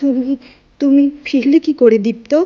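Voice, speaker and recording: In a put-on character voice, a woman speaks at a high pitch with fairly even intonation. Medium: read story.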